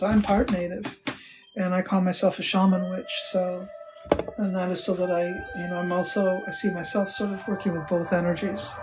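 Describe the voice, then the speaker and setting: A woman talks at a moderate pace in a medium pitch. Music plays behind her, and the room echo is audible. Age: 60s. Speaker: witch and spiritual teacher. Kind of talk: live stream chat with viewers. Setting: live stream from home temple. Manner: casual, warm, conversational.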